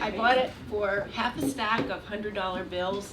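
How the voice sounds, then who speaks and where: Ordinary pitch variation at a moderate pace over noticeable background noise. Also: woman. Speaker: storyteller. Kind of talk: live storytelling performance.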